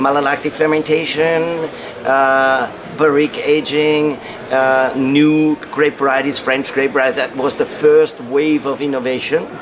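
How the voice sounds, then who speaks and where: A man's fairly slow, monotone, flat delivery over noticeable background noise. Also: fairly high pitch for a man. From Upper Austria. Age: 60s. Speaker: wine marketing director. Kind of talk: interview. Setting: press room at wine conference. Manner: halting, many fillers.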